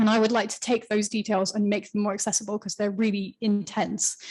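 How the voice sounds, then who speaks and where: Somewhat breathy and monotone, the voice moves at a fairly quick pace with flat intonation. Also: woman. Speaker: writer of the freelancer guide. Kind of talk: panel discussion. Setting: live event with audience and online. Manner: fast.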